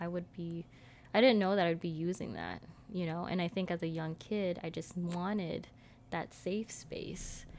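A woman speaks at a moderate pace with ordinary pitch variation. It is a plain, everyday voice. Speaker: podcast host. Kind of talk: casual chat.

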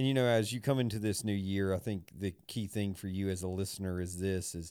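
On a very clean recording with a silent background, a man with a very deep, low voice talks at a fairly quick pace. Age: 40s. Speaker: podcast co-host and pastor. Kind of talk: casual chat.

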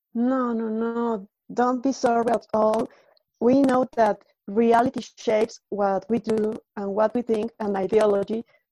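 Her voice is fairly high in pitch, with a dark, mellow tone and monotone, flat intonation at a fairly slow pace. The woman's sound is dry and close, with no echo. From Latin America. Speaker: co-moderator, gender specialist. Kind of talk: moderated interview.

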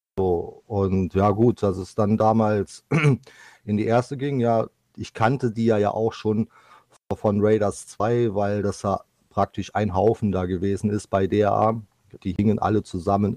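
A man speaks in a monotone, with flat intonation. His voice is fairly low, with a dark, mellow tone. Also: dry, close sound with no echo. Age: 50s. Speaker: esports goalkeeper player. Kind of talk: podcast interview.

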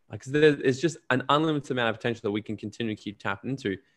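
With an Australian accent, a man talks at a very fast pace and ordinary pitch variation. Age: 20s. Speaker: entrepreneur and podcaster. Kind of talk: casual interview.

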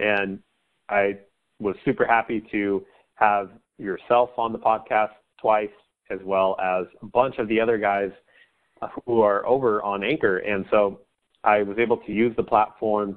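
A man with an American accent speaks in a fairly low pitch. His delivery is a flat monotone at a moderate pace. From central coast of California. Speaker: sports podcaster. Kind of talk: interview.

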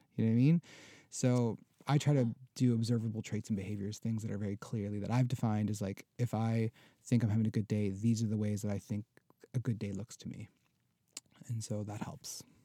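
A man speaks at a fairly quick pace with long, frequent pauses. The sound is dry and close, with no echo. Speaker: podcast guest, fellow podcaster. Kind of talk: casual chat. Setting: in-person studio conversation with microphones. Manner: animated, laughing often.

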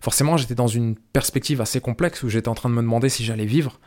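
A man at medium pitch talks at a fairly quick pace with ordinary pitch variation. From France. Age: 30s. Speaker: podcast host and filmmaker. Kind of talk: solo monologue to camera. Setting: filmed to camera. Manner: hesitant, many fillers and repetitions.

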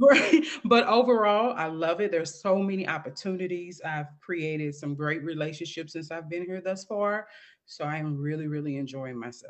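Speaking with an American accent in a plain, everyday voice, a woman with a fairly low pitch uses lively intonation and big swings in loudness. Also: moderate pace. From St. Louis, Missouri, US Midwest. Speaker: author and mentor for single moms. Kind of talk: interview testimony.

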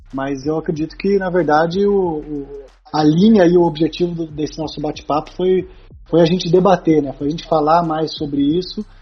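Fairly high in pitch, this man keeps his intonation fairly even. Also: moderate pace. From Brazil, Taubaté (São Paulo state). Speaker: sports psychologist. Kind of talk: casual interview chat. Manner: hesitant with repetitions.

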